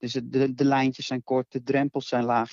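A man speaks at a fairly slow pace and a medium pitch. His intonation is monotone and flat. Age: 20s. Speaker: nurse. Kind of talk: casual chat.

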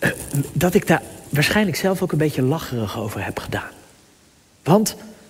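A man speaks at a moderate pace with lively intonation. Noticeable background noise runs under his voice. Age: 30s. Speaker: pastor. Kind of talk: sermon. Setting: church. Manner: halting.

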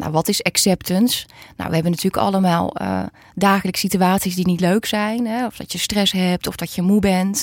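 A woman with an ordinary speaking voice talks at a fairly quick pace and medium pitch, her intonation fairly even. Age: 40s. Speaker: psychologist. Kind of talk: interview.

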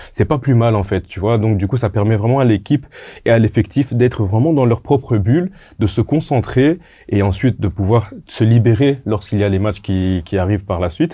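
Somewhat breathy and dark, mellow in tone, a man's medium-pitched voice moves at a moderate pace with ordinary pitch variation. The recording is very clean, the background silent. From Congolese heritage. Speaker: football pundit. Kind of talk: casual football talk show. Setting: studio.

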